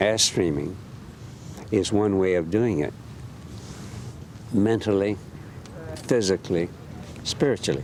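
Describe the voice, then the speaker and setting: A man's fairly low voice at a fairly slow pace, with long, frequent pauses, ordinary pitch variation and very even loudness, over noticeable background noise. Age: 70s. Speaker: Airstream caravan traveler. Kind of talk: casual chat.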